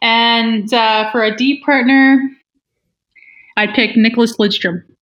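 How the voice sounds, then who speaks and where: With a Canadian Prairies accent, a woman talks at a fairly slow pace in a fairly high pitch. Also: long, frequent pauses. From northern Manitoba, Canada (small Métis community). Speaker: professional hockey player. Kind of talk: casual interview.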